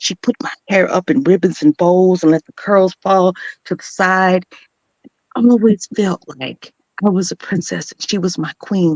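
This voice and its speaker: An ordinary speaking voice from a woman with an American accent, medium pitch, ordinary pitch variation, big swings in loudness and a moderate pace, in a dry, close sound with no echo. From Chicago suburbs, Illinois, USA. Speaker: spoken word poet, voice artist, motivational speaker. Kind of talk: spoken word poetry performance.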